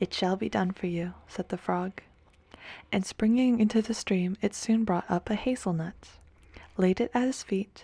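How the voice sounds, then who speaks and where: Soft-spoken and somewhat breathy, a woman talks in a dark, mellow tone with fairly even intonation, heard in a dry, close sound with no echo on a very clean recording with a silent background. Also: medium pitch for a woman, moderate pace. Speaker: ASMR creator. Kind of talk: fairy tale reading.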